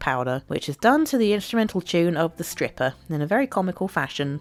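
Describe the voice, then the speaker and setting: Music plays in the background. A woman speaks at a very fast pace. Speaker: YouTube video essayist. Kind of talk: casual commentary narration.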